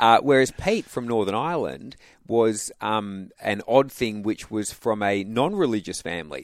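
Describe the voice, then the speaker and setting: A man with an Australian accent and lively intonation, in a very clean recording with a silent background. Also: medium pitch for a man, moderate pace. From Western Australia (Albany, Perth). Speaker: pastor. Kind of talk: radio interview. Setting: radio studio.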